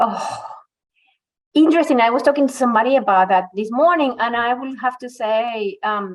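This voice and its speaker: A woman with a Venezuelan accent speaks at a moderate pace, her high-pitched voice carrying lively intonation. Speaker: migrant women's employment advocate. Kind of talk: podcast interview.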